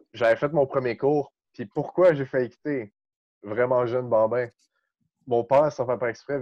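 This man's voice sits at a medium pitch with fairly even intonation. His pace is moderate. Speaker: breakdancer. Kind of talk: casual chat.

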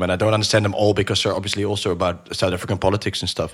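A man speaks with a Dutch accent. His pitch is fairly low. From Netherlands. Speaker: podcast host. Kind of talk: podcast interview.

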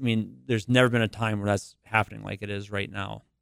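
The voice carries an Upper Midwest accent with fairly even intonation. The sound is dry and close with no echo. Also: man. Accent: Upper Midwest American. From North Dakota, US Upper Midwest. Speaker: biotech company executive. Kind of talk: interview. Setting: studio.

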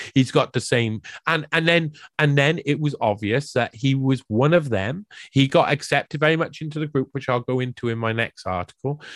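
A man with a South Welsh accent, fairly high in pitch, at a moderate pace with ordinary pitch variation, in a dry, close sound with no echo on a very clean recording with a silent background. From South Wales. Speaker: researcher and writer on the World Economic Forum. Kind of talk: podcast interview.

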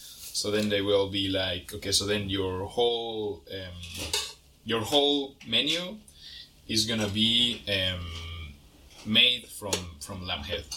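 With a Spanish accent, a man speaks at a very slow pace, and the room echo is audible. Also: fairly low pitch for a man, ordinary pitch variation. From Mexico. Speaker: chef. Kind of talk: casual interview.

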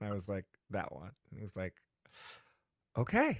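In a very clean recording with a silent background and a dry, close sound with no echo, a man speaks in a plain, everyday voice, fairly low in pitch with ordinary pitch variation. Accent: American. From New Haven, Connecticut. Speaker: actor and playwright. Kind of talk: interview.

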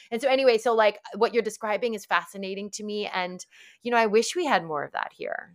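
Talking at a very fast pace, a woman with an American accent uses a fairly high pitch with ordinary pitch variation and big swings in loudness. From New York area, US. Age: 40s. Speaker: author and wellness activist. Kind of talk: casual interview conversation.

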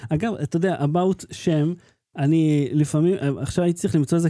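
A man's voice has a dark, mellow tone and a fairly quick pace. The sound is dry and close, without echo. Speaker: tech podcast host. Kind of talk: casual chat; show sign-off.

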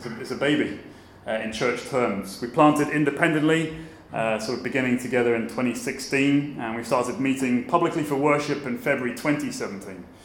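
Against noticeable background noise, a man speaks at a moderate pace and a fairly high pitch. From southern England. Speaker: pastor. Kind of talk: sermon-style conference talk. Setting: conference stage with audience.

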